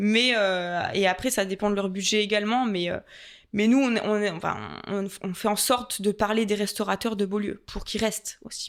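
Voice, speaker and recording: The recording is very clean, with a silent background. The voice is monotone and flat, at a moderate pace. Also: woman, medium pitch for a woman. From Franche-Comté, France. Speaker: tourist office adviser and content creator. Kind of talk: podcast interview. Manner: hesitant, many fillers.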